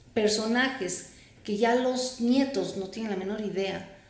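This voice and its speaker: A woman's fairly high voice at a fairly slow pace, ordinary pitch variation and audible room echo. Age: 60s. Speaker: psychotherapist and entrepreneur. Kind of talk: interview.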